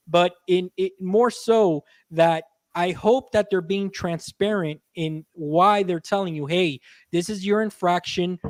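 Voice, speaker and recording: High-pitched man with an American accent, moderate pace, ordinary pitch variation, dry close sound with no echo, very clean recording and silent background. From US, Cuban family. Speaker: gaming podcaster. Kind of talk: casual chat.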